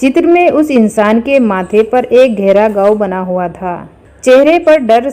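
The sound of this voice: Intonation is lively throughout the unforced reading voice.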